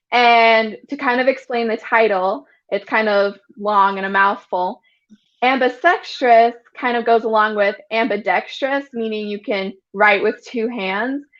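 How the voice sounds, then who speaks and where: A woman's unremarkable speaking voice in an American accent, fairly high in pitch with ordinary variation, at a fairly slow pace. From Utah. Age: 20s. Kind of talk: interview testimony.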